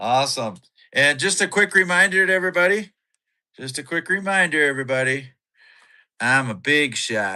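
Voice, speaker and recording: With an American accent, a man talks in a bright, sharp, animated tone, leaving long, frequent pauses in a very clean recording with a silent background. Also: fairly high pitch for a man, lively intonation, moderate pace. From Minnesota, US. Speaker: podcast co-host, live streamer. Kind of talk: casual live-stream chat. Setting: live stream.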